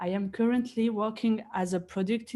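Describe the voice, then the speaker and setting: A woman speaks in a fairly high, somewhat breathy voice with a dark, mellow tone. The recording is very clean, with a silent background. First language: not English. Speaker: software engineering consultant. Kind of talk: conference talk.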